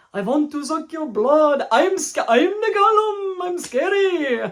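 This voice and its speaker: A put-on character voice, high-pitched and fairly slow. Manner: exaggerated, cartoonish, menacing.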